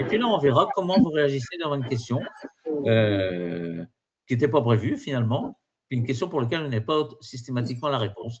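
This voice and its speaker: A man with a medium pitch and somewhat breathy voice speaks with lively intonation. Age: 60s. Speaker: exam prep trainer. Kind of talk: webinar lecture. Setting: online virtual class. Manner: halting, many fillers and repetitions.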